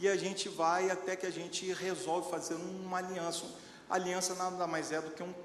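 A man speaks at a high pitch and a moderate pace, his intonation monotone and flat. Audible room echo and noticeable background noise fill the recording. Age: 40s. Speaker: lay preacher. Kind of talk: sermon.

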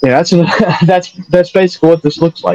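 A man's dark, mellow voice in a Southern US accent, dry and close with no echo. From North Carolina. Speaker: podcast co-host. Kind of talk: casual chat.

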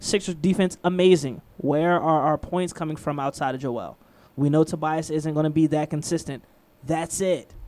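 At a moderate pace, the talking is captured in a very clean recording against a silent background. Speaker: radio host. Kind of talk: radio DJ patter. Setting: radio studio.

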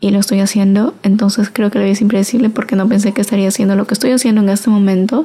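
Very fast delivery with very even loudness, fairly even intonation and hardly any pauses. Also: woman, medium pitch for a woman. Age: 20s. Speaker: podcaster. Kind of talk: solo casual monologue.

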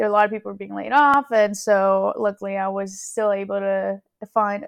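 A woman speaks at a moderate pace in a normal speaking voice, her intonation fairly even. The sound is dry and close, with no echo. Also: quiet background. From Houston, Texas (moved from California at ten). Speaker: podcast co-host, interviewee. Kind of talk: casual chat interview.

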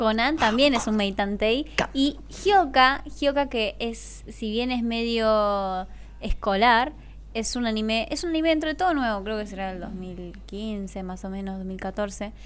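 At a fairly slow pace, a woman with a fairly high pitch speaks amid audible room echo. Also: ordinary pitch variation. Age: 20s. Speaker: influencer and model. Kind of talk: casual chat.

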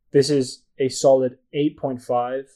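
This man has a fairly high-pitched voice. His tone is dark and mellow. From Asia. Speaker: podcast co-host. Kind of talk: casual chat. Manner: animated.

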